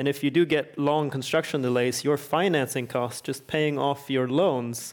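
In a Swedish accent, a man speaks at a moderate pace with a fairly high pitch and fairly even intonation, on a very clean recording with a silent background. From Sweden. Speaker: energy researcher and author. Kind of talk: panel discussion.

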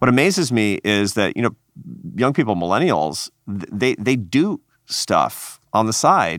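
A man with an American accent speaks fairly slowly at medium pitch with very wide pitch swings, in a very clean, dry, close recording with no echo and a silent background. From Seattle. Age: 50s. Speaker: podcast host and think tank head. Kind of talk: interview and narration.

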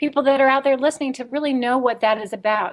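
Against a quiet background, a woman talks in a high voice with an American accent. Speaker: radio host. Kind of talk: casual radio interview.

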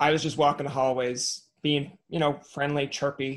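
A man's medium-pitched voice with vocal fry at a moderate pace

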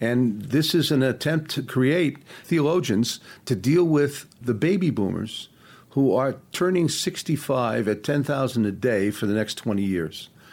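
A man with a plain, everyday voice speaks at medium pitch and a fairly slow pace. His intonation is lively while his loudness stays very even. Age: 60s. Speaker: leadership consultant. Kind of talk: interview.

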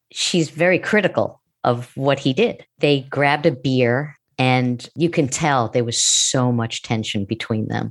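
This woman has a very deep, low voice and a New York accent. She talks at a fairly slow pace with ordinary pitch variation. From US Northeast, Long Island, New York. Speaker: TV writer, producer and former stand-up comedian. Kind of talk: casual interview chat.

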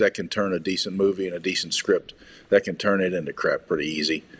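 A man talks at a fairly quick pace in a fairly low pitch. He has an unremarkable speaking voice. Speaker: podcast guest discussing movies. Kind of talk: casual chat. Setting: studio.

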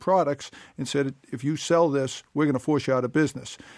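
A man with an American accent talks very fast with fairly even intonation, the sound dry and close with no echo. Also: very clean recording, silent background. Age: 50s. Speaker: political candidate. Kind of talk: interview. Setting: studio.

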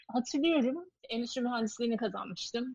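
A woman talks with lively intonation. Her pitch is high. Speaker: social enterprise co-founder. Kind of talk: casual interview.

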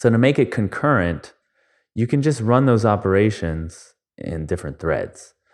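A man with a fairly low pitch speaks at a moderate pace and with lively intonation. The background is quiet. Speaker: functional programmer. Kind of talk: casual interview chat.

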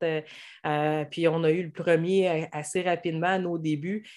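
On a very clean recording with a silent background, a woman with a Quebec accent talks at a fairly slow pace in a fairly low pitch. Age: 30s. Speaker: hairdresser and stay-at-home mother. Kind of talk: casual interview.

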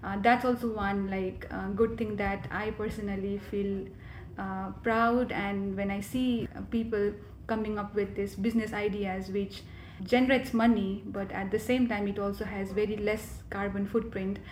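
Somewhat breathy speech at a moderate pace holds a monotone, flat intonation against audible room echo. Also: woman, medium pitch for a woman. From Nepal, Kathmandu. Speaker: graduate student, climate advocate. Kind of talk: interview.

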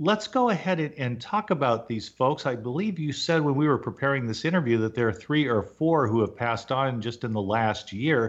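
A man with a plain, everyday voice speaks in a fairly high pitch at a moderate pace, with hardly any pauses. His intonation is lively, and the background is quiet. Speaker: radio host. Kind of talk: radio interview.

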